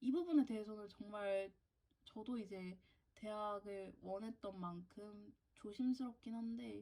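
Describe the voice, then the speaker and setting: Dark, mellow tone from a woman, somewhat breathy, her pitch varying in an ordinary way. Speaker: university student vlogger. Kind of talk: casual Q&A vlog.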